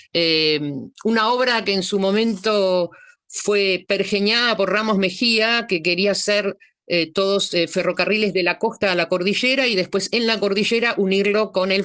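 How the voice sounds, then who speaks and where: With a plain, everyday voice, a woman speaks at a moderate pace and medium pitch, her intonation fairly even and her loudness very even. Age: 60s. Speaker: participant. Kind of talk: casual chat.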